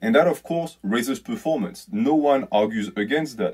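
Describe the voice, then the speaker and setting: A man at medium pitch with very wide pitch swings, against a quiet background. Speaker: fitness YouTuber. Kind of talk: video commentary. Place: home room. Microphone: phone near.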